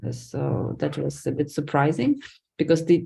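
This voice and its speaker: A woman with a Lithuanian accent at a moderate pace. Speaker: academic researcher. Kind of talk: lecture.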